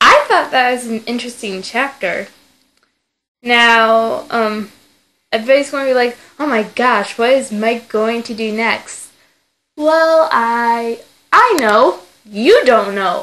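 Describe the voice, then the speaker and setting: With a bright, sharp tone and fairly high pitch, a woman speaks at a very slow pace with ordinary pitch variation. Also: quiet background. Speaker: fan fiction reader. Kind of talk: casual chat; reading aloud.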